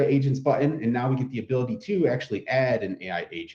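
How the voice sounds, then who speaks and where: A man talks with a dark, mellow tone and a somewhat breathy quality. His intonation is lively. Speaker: product trainer. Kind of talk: webinar tutorial. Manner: fast; casual.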